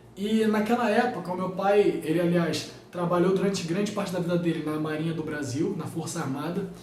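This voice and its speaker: In a room with audible echo and noticeable background noise, a man with a high voice speaks fairly quickly with fairly even intonation. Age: 20s. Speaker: physics teacher, YouTuber. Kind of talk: casual vlog talk to viewers.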